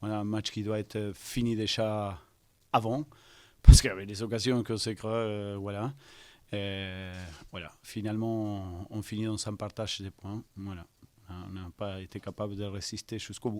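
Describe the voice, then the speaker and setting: A man speaks in a monotone, flat intonation with long, frequent pauses and big swings in loudness. The recording is very clean, with a silent background. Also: fairly low pitch for a man, moderate pace. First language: not French (speaking French). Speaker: football coach. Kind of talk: press conference. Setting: post-match press conference. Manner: halting, many hesitations.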